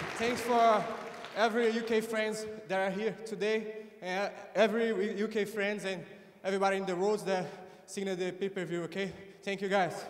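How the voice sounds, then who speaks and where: In a non-native accent, the speaker talks in a monotone, flat way with long, frequent pauses over noticeable background noise. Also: man, high pitch for a man, moderate pace. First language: Portuguese. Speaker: jiu-jitsu competitor. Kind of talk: post-fight interview. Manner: halting.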